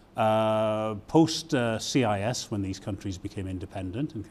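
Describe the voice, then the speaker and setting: Fairly low in pitch, a man talks in a dark, mellow tone with ordinary pitch variation. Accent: British. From Britain. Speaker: university provost. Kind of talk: interview. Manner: hesitant, many fillers.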